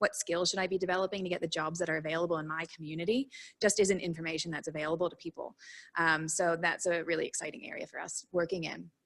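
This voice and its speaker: On a very clean recording with a silent background, a woman with an Australian accent talks very fast at a fairly low pitch with fairly even intonation. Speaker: recruitment startup speaker. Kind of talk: workshop presentation. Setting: workshop with small audience.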